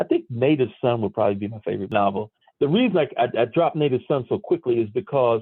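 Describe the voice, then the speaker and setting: Speaking at a very fast pace, a man with an American accent talks at a medium pitch. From US Northeast, Newark, New Jersey. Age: 70s. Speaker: author and former radio broadcaster. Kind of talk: podcast interview.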